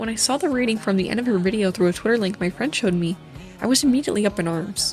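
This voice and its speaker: Over music in the background, a woman talks at a very fast pace with a medium pitch and ordinary pitch variation. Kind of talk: video essay narration. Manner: stutter.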